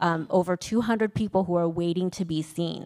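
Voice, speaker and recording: Here is a woman with a Vietnamese accent at a moderate pace. Her pitch is fairly low, with ordinary variation. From US, Vietnamese American family. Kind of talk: panel discussion.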